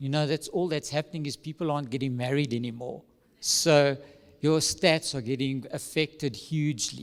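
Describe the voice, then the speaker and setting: A man talks at a moderate pace in an animated tone, his pitch fairly high. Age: 50s. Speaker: conference speaker on family separation. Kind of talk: talk at a church conference. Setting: stage with audience, filmed. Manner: animated, moves around on stage.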